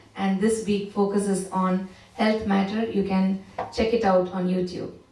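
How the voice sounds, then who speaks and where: A woman talking at a fairly slow pace amid audible room echo. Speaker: church service host. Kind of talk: announcements.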